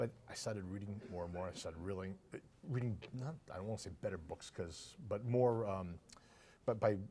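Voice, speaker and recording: Speaking with a strong Boston accent, a man has a fairly low pitch and a dark, mellow, somewhat breathy tone. His pace is moderate, and his pitch variation is ordinary. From Boston area, Massachusetts (Winthrop). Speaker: rare book dealer. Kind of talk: casual interview. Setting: book fair convention hall. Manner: halting, repeats words.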